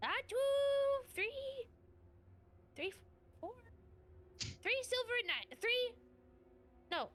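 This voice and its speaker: In a squeaky, put-on character voice of extremely high pitch, a woman speaks at a fairly slow pace with long, frequent pauses. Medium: actual play. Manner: scattered, stop-and-start.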